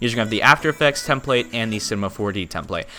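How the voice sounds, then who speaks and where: Over music in the background, a man talks very fast at a fairly low pitch with lively intonation. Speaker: YouTube tutorial creator. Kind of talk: tutorial. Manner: energetic.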